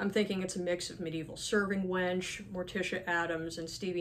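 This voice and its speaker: With noticeable background noise behind her, a woman talks at a fairly quick pace in a fairly low pitch with fairly even intonation. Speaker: horror author. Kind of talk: casual talk to camera.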